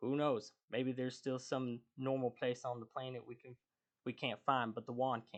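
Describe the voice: Over a quiet background, the speaker does a plain reading aloud.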